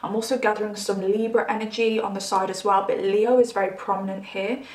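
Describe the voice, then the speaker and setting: Over noticeable background noise, a woman with an English accent talks in an animated tone at a fairly high pitch. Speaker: tarot reader. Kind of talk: tarot reading monologue.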